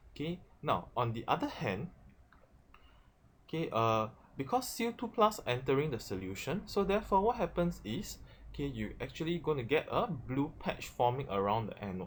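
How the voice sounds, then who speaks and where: Vocal fry and very wide pitch swings in a male voice. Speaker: chemistry teacher. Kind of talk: tutorial. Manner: fast; frequent fillers, repeated 'okay'.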